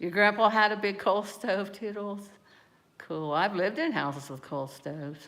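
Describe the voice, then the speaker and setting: Using an ordinary speaking voice, a woman talks at a moderate pace in a medium pitch. Her intonation is lively, and her loudness swings widely. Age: 60s. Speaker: livestreamer. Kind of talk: casual chat. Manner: rambling conversational.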